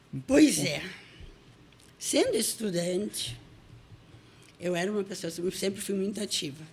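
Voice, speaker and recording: Noticeable background noise sits behind a woman of medium pitch who talks at a fairly slow pace with lively intonation and long, frequent pauses. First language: Russian (speaking Portuguese). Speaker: writer. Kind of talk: interview.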